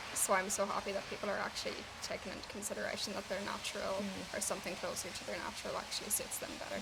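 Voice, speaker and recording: A woman talks at a very fast pace with hardly any pauses over noticeable background noise. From Ireland. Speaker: hairstylist. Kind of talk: interview answer.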